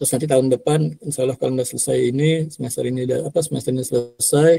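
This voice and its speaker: Somewhat breathy and dark, mellow in tone, a man talks at a fairly quick pace in a dry, close sound with no echo. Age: 50s. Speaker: university lecturer. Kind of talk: lecture. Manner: casual, with many fillers.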